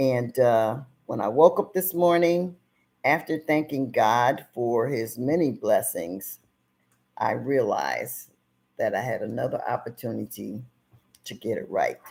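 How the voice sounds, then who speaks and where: A woman speaking at a fairly slow pace with long, frequent pauses, on a very clean recording against a silent background. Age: 60s. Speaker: video show host. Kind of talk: casual monologue. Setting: live video stream.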